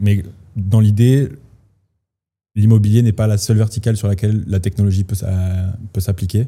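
A man's somewhat breathy, dark and mellow voice, fairly low in pitch, at a moderate pace with fairly even intonation and long, frequent pauses. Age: 20s. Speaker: startup co-founder, surveying engineer. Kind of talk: casual interview.

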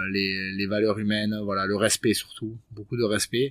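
A man speaks at a fairly low pitch in a monotone, flat delivery. The pace is moderate. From French Basque Country (Bayonne area). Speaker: professional rugby player. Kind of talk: casual interview chat. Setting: rugby club training centre. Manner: halting, many hesitations.

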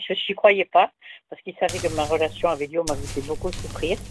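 Music plays in the background as a woman talks at a fairly quick pace in a fairly low pitch. The sound is dry and close with no echo, and her pitch variation is ordinary. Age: 60s. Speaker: caller. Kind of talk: phone-in call.

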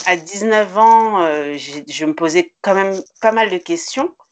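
Pitch moves in an ordinary way. The talking goes very slowly. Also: woman. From Paris suburbs, France (Grigny). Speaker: entrepreneur. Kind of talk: interview.

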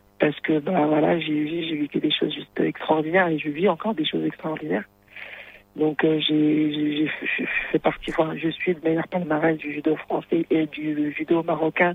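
A woman's very deep, low voice at a fairly slow pace, flat and monotone, over noticeable background noise. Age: 30s. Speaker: judoka. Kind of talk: interview.

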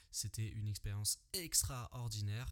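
Over a silent background on a very clean recording, a somewhat breathy voice talks at a fairly slow pace. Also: man. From Paris region, France (Yvelines). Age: 20s. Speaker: podcaster, former soldier. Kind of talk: solo podcast monologue. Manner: casual, hesitant with fillers.

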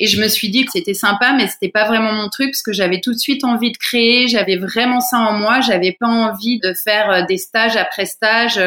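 A woman's bright, sharp tone at a medium pitch, with ordinary pitch variation and a moderate pace. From France, Paris region. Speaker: fashion designer. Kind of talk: interview. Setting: remote call.

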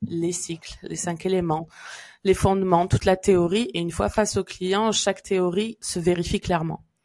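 A woman talks at a moderate pace at medium pitch, in a plain, everyday voice. The recording is very clean, with a silent background. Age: 30s. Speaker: podcast host, Chinese medicine therapist. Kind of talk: casual chat; scripted intro. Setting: around hot drinks.

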